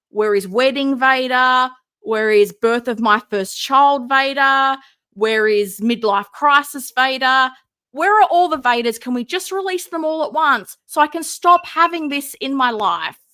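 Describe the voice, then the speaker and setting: A woman with an Australian accent speaks at a fairly slow pace in a high pitch, with a raised, projected voice and a bright, sharp tone. Her delivery is animated with lively intonation, in a very clean recording with a silent background. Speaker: live streamer, collectible figure commentator. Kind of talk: casual live stream chat. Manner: mumbling.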